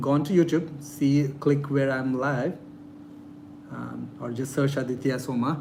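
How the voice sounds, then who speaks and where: A man's fairly high, monotone voice with flat intonation, at a fairly slow pace, in a room with audible echo. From India. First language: not English. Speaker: real estate investor and YouTuber. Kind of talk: live-stream Q&A. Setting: live stream.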